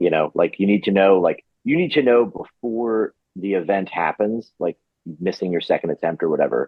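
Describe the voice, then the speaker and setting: Ordinary pitch variation and a moderate pace from a man with a fairly low voice. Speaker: weightlifting coach. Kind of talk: podcast interview. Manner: halting, filler-heavy.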